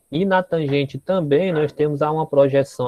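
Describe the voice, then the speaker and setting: With a fairly high pitch and fairly even intonation, a man speaks at a fairly slow pace. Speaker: math teacher. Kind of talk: lecture. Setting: classroom. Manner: soft-spoken.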